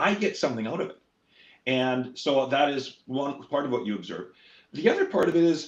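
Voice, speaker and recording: In a Canadian accent, a man talks at a fairly quick pace in a fairly high pitch. His tone is animated, with lively intonation. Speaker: politician. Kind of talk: interview. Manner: fast.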